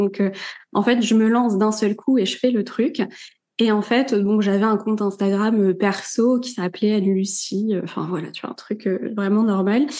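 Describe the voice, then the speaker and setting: A woman's fairly high voice with a dark, mellow tone, fairly even intonation and a moderate pace, against a quiet background. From Normandy, France. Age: 30s. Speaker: tarot reader and content creator. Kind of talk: podcast interview. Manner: casual, many fillers.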